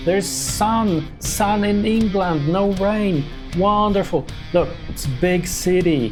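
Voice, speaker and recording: The speech moves at a very slow pace with music in the background. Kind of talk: casual travel vlog narration. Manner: chatty, humorous.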